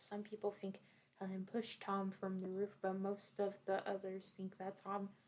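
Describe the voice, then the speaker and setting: A woman's voice at a medium pitch. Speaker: vtuber / content creator. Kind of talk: ASMR creepypasta storytime reading.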